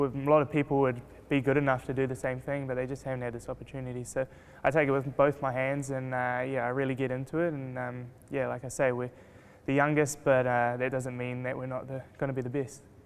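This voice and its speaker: A man with a New Zealand accent speaks at a very fast pace and a medium pitch. His intonation stays monotone and flat. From New Zealand, Rotorua. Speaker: race car driver. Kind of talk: interview. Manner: hesitant, many fillers.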